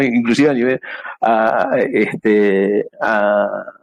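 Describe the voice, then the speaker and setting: This man speaks with ordinary pitch variation. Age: 60s. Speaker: amateur radio operator. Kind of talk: presentation talk. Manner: halting.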